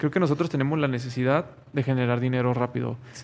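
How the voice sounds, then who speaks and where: With a Mexican accent, a man talks at a medium pitch and with fairly even intonation. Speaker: podcast co-host, medical student. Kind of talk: casual chat. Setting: wearing face mask.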